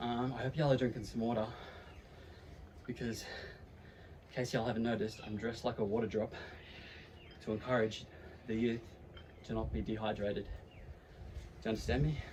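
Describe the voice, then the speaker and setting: A medium-pitched man with an Australian accent, very fast pace, ordinary pitch variation and long, frequent pauses. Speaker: YouTuber. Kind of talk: casual vlog. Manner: casual, filler-heavy.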